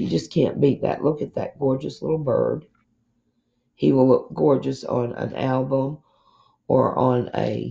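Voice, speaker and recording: A woman speaks at a fairly slow pace with long, frequent pauses, over a quiet background. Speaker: crafting haul vlogger. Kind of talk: casual haul show-and-tell. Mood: pleased, enthusiastic. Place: home room. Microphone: camera far.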